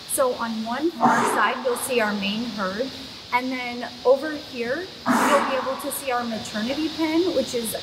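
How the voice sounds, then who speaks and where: A woman with ordinary pitch variation over loud background noise. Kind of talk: casual guided tour explanation. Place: farm machine. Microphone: camera far.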